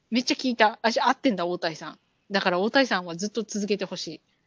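A woman's voice of medium pitch, fairly quick in pace, its pitch moving in an ordinary way. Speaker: podcast co-host. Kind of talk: casual chat. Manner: animated.

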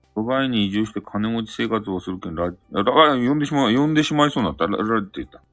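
Music plays in the background as a man with a medium pitch talks at a very fast pace, his intonation lively. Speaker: live-stream host. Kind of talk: casual live-stream chat. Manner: animated, laughing often.

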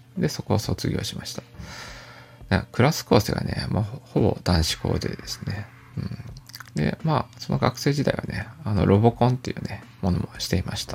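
With a fairly low pitch, very wide pitch swings and big swings in loudness, a man speaks at a moderate pace against noticeable background noise. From Japan, Aichi (Toyota). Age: 40s. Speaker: podcaster. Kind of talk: casual monologue. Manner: calm, soft-spoken; hesitant, filler-heavy.

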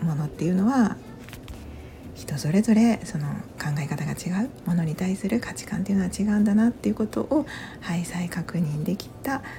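A woman whispers and mumbles at a moderate pace. Noticeable background noise sits behind her. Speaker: podcaster. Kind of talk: casual monologue. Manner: whispering; mumbling.

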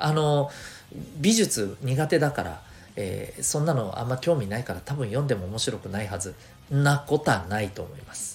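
At a moderate pace, a man with a medium-pitched voice makes very wide pitch swings and big swings in loudness. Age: 40s. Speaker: career education coach. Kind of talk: podcast monologue.

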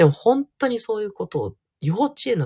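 A soft-spoken man talks at a moderate pace in a relaxed tone. The sound is dry and close, with no echo. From Tokyo, Japan. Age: 40s. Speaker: counselor and podcaster. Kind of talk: solo audio diary monologue. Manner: soft, androgynous delivery; relaxed, many fillers.

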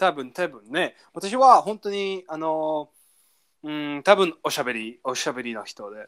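The delivery is animated and fairly slow. The recording is very clean, with a silent background. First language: English (speaking Japanese). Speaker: language learning podcast co-host. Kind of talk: casual chat. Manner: animated, frequent laughter.

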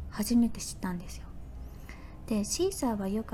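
Music plays in the background as a woman speaks in a relaxed, gentle tone with ordinary pitch variation, with audible room echo. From Fukuoka, Japan. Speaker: podcaster. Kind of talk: casual solo talk.

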